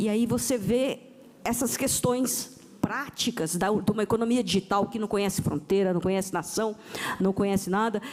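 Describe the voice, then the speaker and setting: Against noticeable background noise, a woman of medium pitch talks at a moderate pace with ordinary pitch variation. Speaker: panel moderator, tax official. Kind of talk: panel discussion moderation. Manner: halting, with false starts.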